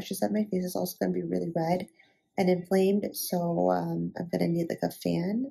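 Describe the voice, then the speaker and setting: A woman whispers at a fairly quick pace. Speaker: lifestyle vlogger. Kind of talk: casual vlog. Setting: clinic. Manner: whispering.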